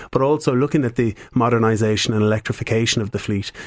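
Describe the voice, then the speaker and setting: In an Irish accent, a man talks at a very fast pace, medium in pitch and fairly even in intonation. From Ireland, County Cavan. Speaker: business executive. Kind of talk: radio interview. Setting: studio.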